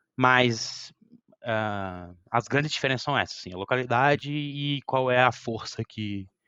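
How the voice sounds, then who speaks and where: A man speaks in an unremarkable speaking voice. His pitch variation is ordinary. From Brazil, Brasília. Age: 20s. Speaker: electronics engineering graduate. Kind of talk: casual interview.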